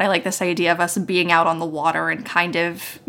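Fairly low-pitched voice of a woman with an American accent, amid noticeable background noise. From West Virginia, US. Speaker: podcaster and game designer. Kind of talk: role-playing game actual play; casual chat.

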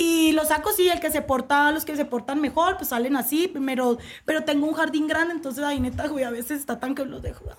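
This woman has a high pitch and a fairly quick pace. She hardly pauses at all. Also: ordinary pitch variation. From Colombia, Cali. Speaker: sports TV presenter. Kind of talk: casual chat.

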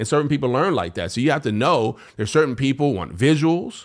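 Using vocal fry, a man speaks at a fairly high pitch. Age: 50s. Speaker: podcast host and speaker. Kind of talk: casual conversation. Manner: fast talker.

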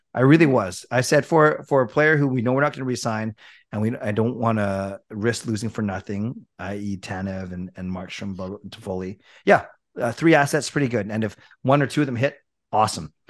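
In a very clean recording with a silent background, a man talks at a fairly quick pace in a medium pitch with ordinary pitch variation. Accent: western Canadian. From Richmond, British Columbia, Canada. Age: 40s. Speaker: hockey YouTuber. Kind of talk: casual chat.

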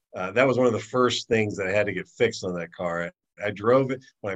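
Speaking with an American accent, a man has a fairly low pitch and ordinary pitch variation. He goes at a very fast pace in a dry, close sound with no echo. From Ohio. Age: 50s. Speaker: podcast co-host. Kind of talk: casual chat.

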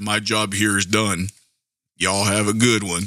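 A man puts on a character voice with a Western US accent. His fairly low voice stays monotone and flat. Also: moderate pace. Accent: country, Western American. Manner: casual, easygoing.

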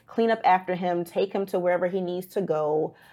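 A woman with a normal speaking voice and a fairly low pitch speaks with fairly even intonation on a very clean recording with a silent background. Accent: American. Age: 30s. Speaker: personal injury consultant. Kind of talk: casual interview.

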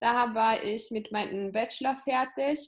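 A woman is speaking. Her pitch is fairly high. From Italy. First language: Italian (speaking German). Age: 20s. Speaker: entrepreneur and business coach. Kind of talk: interview.

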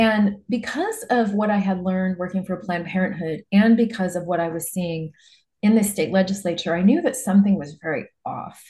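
A woman with an American accent speaks at a fairly quick pace in a somewhat breathy voice with a dark, mellow tone. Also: medium pitch for a woman, ordinary pitch variation. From Nebraska, US Midwest. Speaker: political advocate. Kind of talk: interview.

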